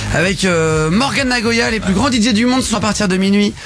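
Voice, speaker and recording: Music plays in the background as a man talks fairly quickly with ordinary pitch variation, his voice carrying audible room echo. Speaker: radio host. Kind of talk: casual live radio talk show. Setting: radio studio. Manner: fast; animated.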